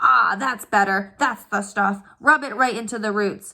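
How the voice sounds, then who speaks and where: A woman speaks loudly in a put-on character voice. Her pitch is medium and her pace moderate. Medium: read story. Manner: loud, bullying, pompous.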